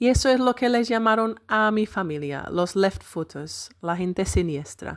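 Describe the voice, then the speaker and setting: Talking at a fairly slow pace with lively intonation, a woman has a normal speaking voice at medium pitch, captured in a very clean recording with a silent background. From northern England, Manchester. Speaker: podcast host. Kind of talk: personal storytelling.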